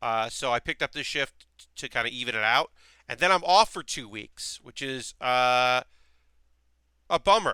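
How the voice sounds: A man speaks at a medium pitch with a bright, sharp, clear and smooth tone. His intonation is lively, his pace moderate, and his pauses long and frequent.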